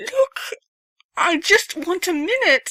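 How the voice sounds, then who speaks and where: This is a put-on character voice that sounds female. The pitch is extremely high for a woman. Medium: read story. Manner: pleading, emotional.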